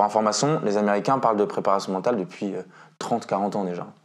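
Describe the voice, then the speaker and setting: Delivered at a fairly quick pace with fairly even intonation, an ordinary speaking voice comes through over a quiet background. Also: man. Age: 20s. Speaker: mental coach and basketball instructor. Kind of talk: interview. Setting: at the guest's home.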